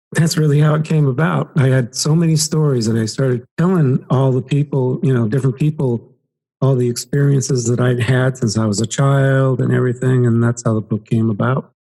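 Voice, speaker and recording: A man's somewhat breathy voice has a dark, mellow tone and a medium pitch, with ordinary pitch variation. He talks at a fairly quick pace, and his loudness stays very even. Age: 60s. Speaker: past life regression hypnotist and author. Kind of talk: podcast interview.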